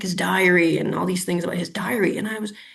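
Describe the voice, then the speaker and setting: A woman with a Canadian accent talks at a very fast pace. There is audible room echo and noticeable background noise. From Canada, Ottawa. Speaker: urban planner. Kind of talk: webinar interview. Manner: hesitant, many fillers.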